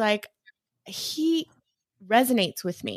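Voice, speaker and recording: Speaking in a plain, everyday voice with an American accent, a woman talks at a fairly slow pace with lively intonation, on a very clean recording with a silent background and a dry, close sound with no echo. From East Los Angeles, US. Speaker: financial coach. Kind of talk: interview.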